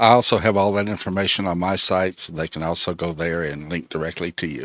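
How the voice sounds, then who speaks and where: Against a silent background on a very clean recording, a man with a very deep, low pitch talks at a very fast pace with fairly even intonation. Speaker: podcast host. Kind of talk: interview.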